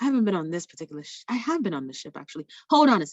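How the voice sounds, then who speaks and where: A woman's voice with very wide pitch swings. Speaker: travel sales trainer. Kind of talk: tutorial. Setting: video call.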